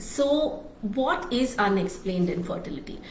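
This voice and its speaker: Noticeable background noise and audible room echo surround a woman speaking at a very slow pace. Her pitch is fairly high and her intonation lively. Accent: Marathi. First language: Marathi. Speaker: fertility doctor. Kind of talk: live stream talk. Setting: Facebook Live.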